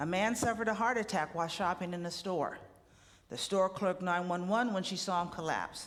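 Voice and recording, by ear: A passage given as reading aloud in a natural voice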